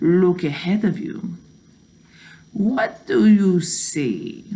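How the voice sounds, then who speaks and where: A put-on character voice at a middle pitch, delivered at a very slow pace. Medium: read story. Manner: smooth, courteous.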